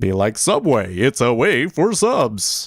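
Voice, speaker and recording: A man's put-on character voice at medium pitch, at a fairly slow pace, with very wide pitch swings. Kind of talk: announcer voice. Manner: jingle-like, advertising.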